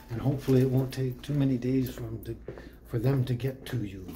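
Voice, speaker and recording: A man talks while noticeable background noise runs underneath. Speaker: vlogger. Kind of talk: casual vlog chat. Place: shop. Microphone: phone near.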